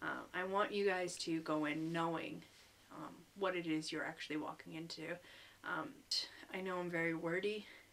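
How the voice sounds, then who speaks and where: At a moderate pace, a woman speaks in a fairly low pitch with a bright, sharp tone and fairly even intonation. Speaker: English teacher in Japan, vlogger. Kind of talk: casual vlog talk to camera. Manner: hesitant, many ums.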